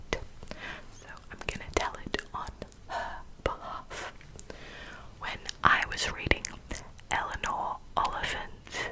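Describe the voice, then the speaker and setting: Whispering at a very slow pace, with long, frequent pauses, a voice comes through noticeable background noise. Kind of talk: ASMR whispering. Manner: whispered, soft-spoken.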